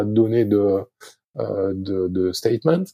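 On a very clean recording with a silent background, a man's dark, mellow voice comes through somewhat breathy, with ordinary pitch variation. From southwest France, Arcachon. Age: 50s. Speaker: sailing coach and former Olympic sailor. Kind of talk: interview. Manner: halting, many hesitations.

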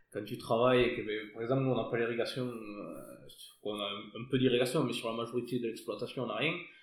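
With audible room echo, a man at medium pitch talks at a moderate pace with fairly even intonation. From southern France, Hérault. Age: 30s. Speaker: winegrower. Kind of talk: casual interview. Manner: hesitant, with fillers.

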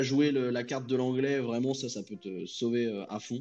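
Over music in the background, a man talks at a fairly slow pace with a medium pitch and fairly even intonation. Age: 20s. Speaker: freelance customer service agent. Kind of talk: casual chat.

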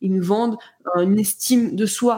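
Talking at a fairly slow pace, a woman shows ordinary pitch variation. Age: 30s. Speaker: content creation coach. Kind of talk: casual interview. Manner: animated.

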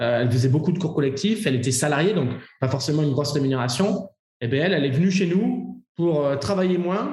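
A man with a fairly high pitch speaks with lively intonation and very even loudness, and the room echo is audible. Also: fairly quick pace. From France, Bordeaux. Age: 20s. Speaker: fitness coach and entrepreneur. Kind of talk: interview.

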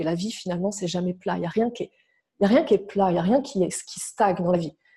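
This woman's somewhat breathy voice has a dark, mellow tone. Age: 30s. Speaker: relationship coach. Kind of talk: interview.

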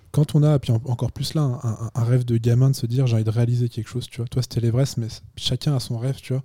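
A somewhat breathy man's voice with a dark, mellow tone, fairly even intonation and a fairly quick pace, in a dry, close sound with no echo. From Chamonix, French Alps. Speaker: podcast host. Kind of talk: casual interview. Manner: hesitant, many filler words.

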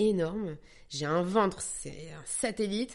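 A woman's voice with lively intonation against a quiet background. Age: 30s. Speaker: actress and young mother. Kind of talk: personal testimony. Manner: hesitant, many repetitions.

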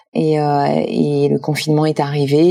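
A woman keeps a moderate pace while noticeable background noise continues behind her. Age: 50s. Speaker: foundation president. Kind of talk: interview.

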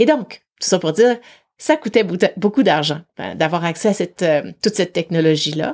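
A woman speaks in a normal speaking voice with a fairly low pitch. Her pace is fairly quick, and her pitch varies in an ordinary way. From Quebec City, Quebec. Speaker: psychologist and executive coach. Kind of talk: interview.

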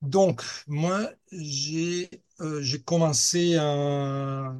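A man speaks in a fairly high pitch with ordinary pitch variation. His voice is somewhat breathy. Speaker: hang-gliding club safety officer. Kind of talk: interview.

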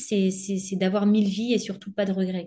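A woman's somewhat breathy voice. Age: 30s. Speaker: former bank employee turned entrepreneur. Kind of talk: interview.

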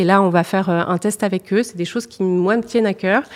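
A woman's medium-pitched voice carries fairly even intonation. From northern France (Nord, Lille suburbs). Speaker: purchasing director. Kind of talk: interview. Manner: hesitant, many fillers.

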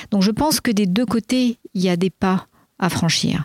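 A woman with a plain, everyday voice speaks at a medium pitch with ordinary pitch variation in a dry, close sound with no echo. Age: 60s. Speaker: executive coach. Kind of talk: interview. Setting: outdoors.

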